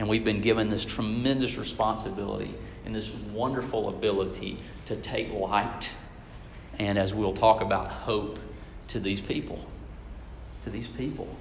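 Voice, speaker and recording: A fairly low-pitched male voice with long, frequent pauses, noticeable background noise and audible room echo. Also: fairly even intonation, moderate pace. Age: 30s. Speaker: preacher. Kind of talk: sermon.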